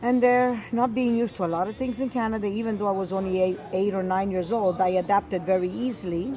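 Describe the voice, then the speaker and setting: A woman with an Italian accent at medium pitch and a fairly quick pace, over noticeable background noise. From Sicily, Italy. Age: 70s. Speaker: grandmother telling family history. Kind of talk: oral history interview.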